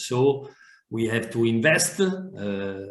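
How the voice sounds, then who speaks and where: Somewhat breathy and at medium pitch, a man speaks with an Italian accent, and room echo can be heard. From Italy. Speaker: fire analyst. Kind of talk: webinar presentation and Q&A. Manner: halting, many hesitations and repetitions.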